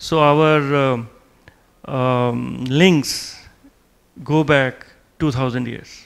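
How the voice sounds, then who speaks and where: With an Indian accent, a man talks at a very slow pace with fairly even intonation and long, frequent pauses. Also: medium pitch for a man. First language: Hindi. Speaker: diplomat. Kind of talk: lecture. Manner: halting, with many fillers.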